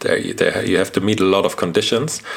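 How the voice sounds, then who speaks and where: This man speaks with a German accent. His pace is fairly quick. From Germany. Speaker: journalist and podcast co-host. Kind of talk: casual conversation.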